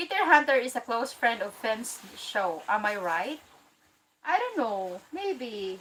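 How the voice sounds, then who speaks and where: Speaking very slowly with an American accent, a woman uses a fairly high voice with very wide pitch swings. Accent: American-sounding, sometimes Filipino. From Philippines. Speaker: live streamer. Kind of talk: livestream chat reading comments.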